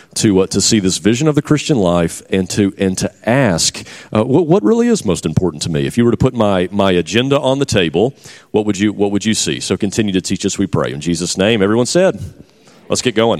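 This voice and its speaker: With a normal speaking voice, a man talks at a fairly quick pace in a fairly low pitch. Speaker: conference host. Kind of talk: conference session leading. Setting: church conference.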